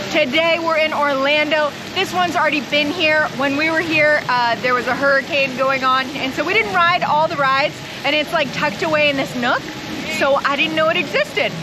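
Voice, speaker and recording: Over noticeable background noise, a woman with a high pitch speaks in a raised, projected voice at a fairly quick pace, her loudness very even. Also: ordinary pitch variation. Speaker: travel vlogger. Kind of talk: travel vlog. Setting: outdoors at theme park.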